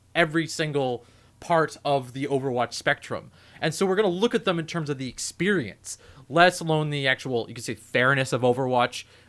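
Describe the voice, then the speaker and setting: On a very clean recording with a silent background, a man mumbles at a fairly quick pace in a medium pitch. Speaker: podcast host. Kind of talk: casual podcast chat. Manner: mumbling; rambling, halting.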